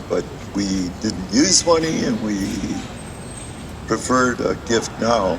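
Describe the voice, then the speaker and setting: Over noticeable background noise, a man with a Canadian accent speaks fairly slowly in a fairly low pitch. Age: 80s+. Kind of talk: public talk. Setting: outdoors in a playground, audience circle. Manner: halting, many fillers.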